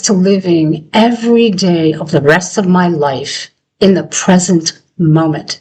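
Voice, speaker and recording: A woman's somewhat breathy, medium-pitched voice at a very slow pace, with ordinary pitch variation. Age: 70s. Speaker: retired psychotherapist turned life coach. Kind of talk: motivational talk to camera.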